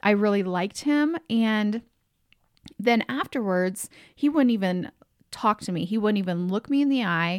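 In an ordinary speaking voice, a woman speaks at a moderate pace with a fairly high pitch and lively intonation, captured dry and close with no echo on a very clean recording with a silent background. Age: 40s. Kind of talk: solo podcast monologue. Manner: conversational, frequent fillers and laughs.

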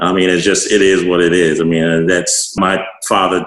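A man with an American accent speaks in a very deep, low pitch. His intonation is monotone and flat. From US Mid-Atlantic. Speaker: neurosurgeon. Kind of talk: interview.

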